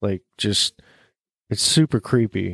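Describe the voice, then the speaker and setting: With a normal speaking voice, a man at a medium pitch comes through dry and close with no echo on a very clean recording with a silent background. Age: 30s. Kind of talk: casual chat.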